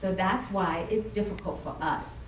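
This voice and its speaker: Audible room echo and noticeable background noise are present. A woman speaks with a medium pitch. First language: not English. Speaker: toastmasters club member presenting. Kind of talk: club presentation. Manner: halting.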